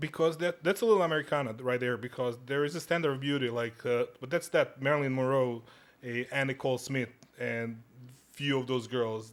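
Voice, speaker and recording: With a Serbian accent, a man talks at a fairly quick pace. His pitch sits in the medium range. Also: ordinary pitch variation. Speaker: podcast guest. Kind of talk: casual chat. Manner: halting, many restarts.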